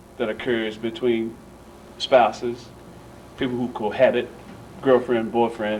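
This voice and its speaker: Medium-pitched man's voice at a moderate pace, with audible room echo and noticeable background noise. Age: 50s. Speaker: pastor speaking at community meeting. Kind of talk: community meeting remarks. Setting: church meeting room.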